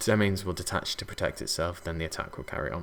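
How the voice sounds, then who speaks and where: Over music in the background, a man with a very deep, low pitch talks at a fairly quick pace with ordinary pitch variation. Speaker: card game tournament commentator. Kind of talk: live commentary. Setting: commentating booth at event. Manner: hesitant, many fillers.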